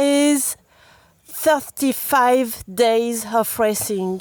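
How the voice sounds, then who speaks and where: A woman speaks very slowly with a strong French accent. Her high-pitched voice has lively intonation. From France. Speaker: enduro mountain biker. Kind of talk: casual interview. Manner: halting.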